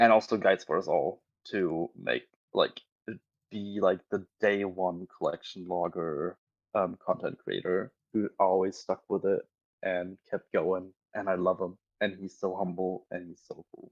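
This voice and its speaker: A man with a German accent at a fairly slow pace, with big swings in loudness and a dry, close sound with no echo. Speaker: online gamer. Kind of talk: podcast interview.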